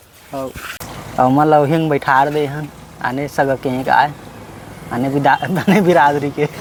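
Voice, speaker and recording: There is noticeable background noise as a man speaks with long, frequent pauses. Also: fairly high pitch for a man. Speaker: village vlogger. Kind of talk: casual vlog talk to camera.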